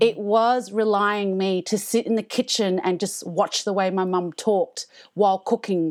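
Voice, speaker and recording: A woman with an Australian accent speaks at a medium pitch. Her intonation stays fairly even at a moderate pace. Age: 30s. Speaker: comedian. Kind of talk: casual chat. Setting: remote recording from home.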